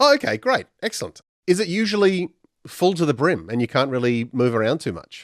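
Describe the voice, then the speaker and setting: A man with a South Australian accent talks at a fairly quick pace and a fairly high pitch, with very wide pitch swings. The sound is dry and close, with no echo. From Australia, Adelaide. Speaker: radio host. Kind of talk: radio interview.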